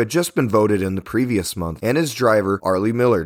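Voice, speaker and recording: With an American accent, a man talks at a fairly quick pace on a very clean recording with a silent background. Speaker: podcast host, local history storyteller. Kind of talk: true-crime history narration, scripted and read in a steady, serious storytelling tone. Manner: measured, even-paced and somber, with factual detail read out clearly.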